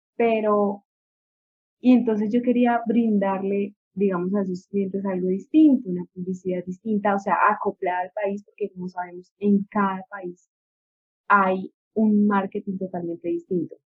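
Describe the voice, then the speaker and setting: Speaking fairly slowly in a normal speaking voice, a woman keeps a medium pitch and fairly even intonation. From Colombia, Ibagué. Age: 20s. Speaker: business administrator. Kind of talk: interview.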